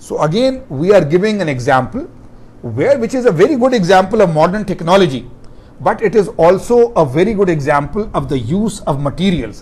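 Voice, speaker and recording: Amid audible room echo, a high-pitched man talks at a fairly quick pace with very wide pitch swings. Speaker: professor. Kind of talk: lecture.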